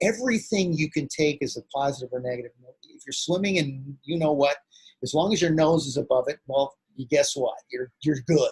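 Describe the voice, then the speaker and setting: Somewhat breathy speech with a General American accent comes at a fairly quick pace with ordinary pitch variation and big swings in loudness, in a dry, close recording with no echo. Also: man, fairly high pitch for a man. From Los Angeles, US. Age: 50s. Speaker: actor and martial arts master. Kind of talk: interview.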